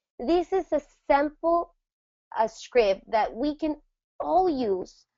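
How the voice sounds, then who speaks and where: A woman with a Spanish accent speaks with lively intonation. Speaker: network marketing trainer. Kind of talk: training presentation.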